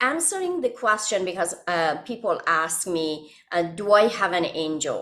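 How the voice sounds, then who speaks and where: Using lively intonation and hardly any pauses, a woman with an Iranian accent speaks at a fairly slow pace and medium pitch. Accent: Iranian (Persian). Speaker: author and hypnotherapist. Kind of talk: podcast interview. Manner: halting.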